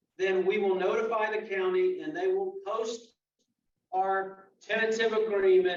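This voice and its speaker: A man's pitch shifts in an ordinary way, and audible room echo colors the recording. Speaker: union official. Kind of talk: membership meeting briefing.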